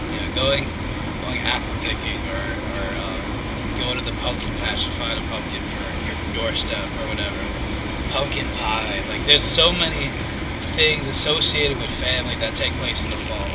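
With music in the background, a man talks at a moderate pace and takes long, frequent pauses. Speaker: vlog co-host. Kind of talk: casual vlog chat. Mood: cheerful, laughing. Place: car. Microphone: phone near.

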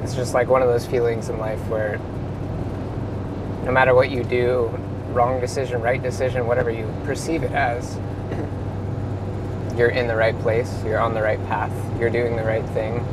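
In a dry sound with no echo, a man talks at a moderate pace despite loud background noise. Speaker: travel vlogger driving. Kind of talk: casual vlog chat. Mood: calm, thoughtful. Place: car. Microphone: lapel.

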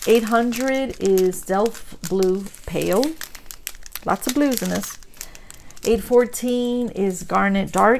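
A woman speaks at a very slow pace, with long, frequent pauses and ordinary pitch variation. Light background noise sits behind her. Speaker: crafting YouTuber. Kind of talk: unboxing tutorial. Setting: home recording. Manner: animated.

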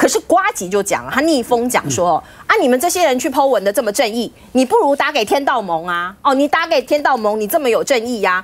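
A woman with a Taiwanese accent talks at a fairly quick pace in an animated tone. Her high pitch swings very widely. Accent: Taiwanese Mandarin. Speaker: TV news talk show host. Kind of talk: TV political talk show. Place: studio.

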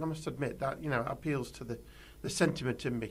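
A man's medium-pitched voice with vocal fry, at a fairly quick pace. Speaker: podcast co-host, EV club member. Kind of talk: casual chat.

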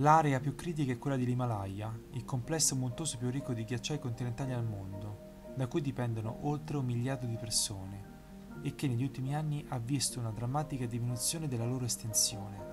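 Music plays behind speech delivered fairly quickly. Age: 30s. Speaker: amateur narrator. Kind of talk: documentary narration.

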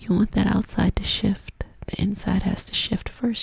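A woman whispers. Her pace is fairly slow. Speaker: ASMR creator. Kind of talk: soft guided affirmation talk. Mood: soothing, encouraging. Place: home room. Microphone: studio mic.

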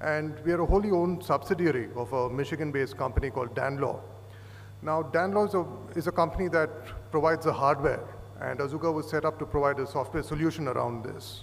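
Light background noise accompanies a man speaking. He goes at a very fast pace with ordinary pitch variation. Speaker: conference presenter. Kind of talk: lecture. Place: hall. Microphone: podium.

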